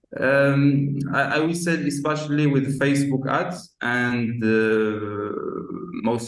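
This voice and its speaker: The pace here is very slow. A man is talking, with ordinary pitch variation. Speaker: marketing agency owner. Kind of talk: casual chat. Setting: video call. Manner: halting, many fillers.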